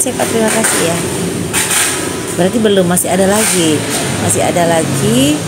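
Music plays in the background. Over it, a woman talks at a fairly quick pace. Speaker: live streamer. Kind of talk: casual live-stream chat reading viewer comments. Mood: cheerful, laughing. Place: shop. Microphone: phone near.

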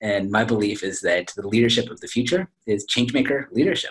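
With an American accent, a man speaks at a fairly quick pace in a somewhat breathy voice over a quiet background. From California, Silicon Valley; California. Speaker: business school professor. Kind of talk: interview. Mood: upbeat, smiling. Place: office. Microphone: video call.

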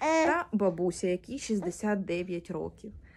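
The woman speaks with lively intonation. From Ukraine, Mariupol; Ukraine. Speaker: displaced person appealing for aid. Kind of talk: personal testimony and appeal. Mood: calm, subdued, serious. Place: home room. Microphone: phone near.

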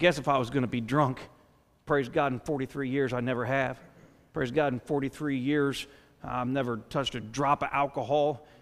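A man is speaking at a moderate pace. His intonation is monotone and flat. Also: medium pitch for a man. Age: 40s. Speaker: pastor. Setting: church sanctuary before a congregation. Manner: conversational asides with filler words like uh; earnest, rising exhortation with repeated rhetorical questions. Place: church. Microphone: headset.

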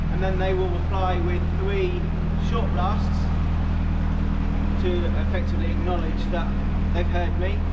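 The speech moves at a moderate pace. Loud background noise accompanies it. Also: man. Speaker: narrowboat vlogger. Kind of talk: casual vlog chat. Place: tunnel cave.

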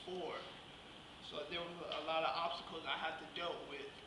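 There is audible room echo and noticeable background noise. A man speaks at a moderate pace. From southwest Georgia, US South. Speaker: guest speaker, vocational rehabilitation client. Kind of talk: speech at a luncheon. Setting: luncheon with live audience. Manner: halting. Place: hall. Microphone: camera far.

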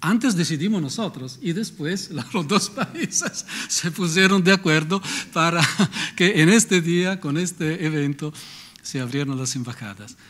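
Speaking at a fairly slow pace, a man with an Italian accent uses a high pitch. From Italy. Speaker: moderator. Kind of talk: formal introductions. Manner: halting. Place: hall. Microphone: podium.

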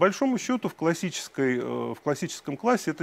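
With vocal fry and lively intonation, a man talks at a very fast pace in a dry sound with no echo. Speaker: education data researcher; speaker. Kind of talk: conference talk. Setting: stage with audience. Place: hall.

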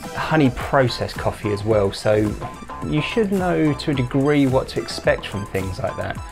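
A man with clear music in the background. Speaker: coffee channel host. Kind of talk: casual vlog chat. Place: home room.

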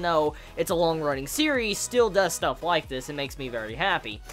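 Faint music plays behind a man as he speaks. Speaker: anime reviewer. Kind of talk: casual episode review commentary.

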